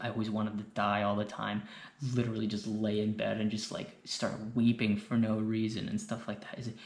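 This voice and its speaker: Whispering at a fairly quick pace, a man speaks. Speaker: YouTuber sharing mental health advice. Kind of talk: personal monologue. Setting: indoors late at night. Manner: rambling, hesitant.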